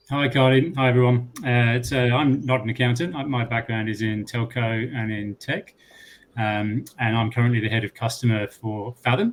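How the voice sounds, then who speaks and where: With a British accent, a man at medium pitch talks at a moderate pace with fairly even intonation. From UK. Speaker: tech company customer lead. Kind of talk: panel discussion.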